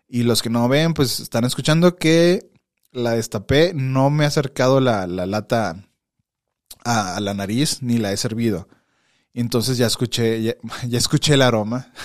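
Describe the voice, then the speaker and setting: With a Mexican accent, a man talks at a fairly slow pace in a medium pitch. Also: ordinary pitch variation, very clean recording, silent background. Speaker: podcast host. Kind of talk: casual chat. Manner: animated.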